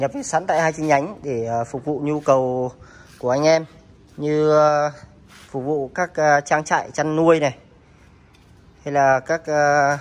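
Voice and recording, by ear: Slowly and with fairly even intonation, a man speaks at a fairly high pitch.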